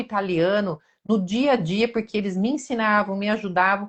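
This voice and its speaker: A woman speaks at a moderate pace with a Brazilian accent. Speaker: nursing career mentor. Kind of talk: live-stream interview chat.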